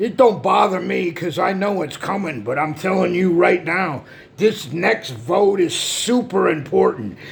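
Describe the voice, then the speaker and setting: With noticeable background noise behind him, a man speaks at a fairly slow pace in a high pitch. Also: lively intonation. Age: 60s. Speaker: political commentator. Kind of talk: rant. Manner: animated.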